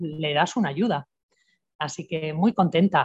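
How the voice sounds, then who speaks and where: In a quiet background, a woman with a fairly low pitch speaks at a moderate pace in a somewhat breathy voice. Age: 60s. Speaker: natural health therapist. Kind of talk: interview.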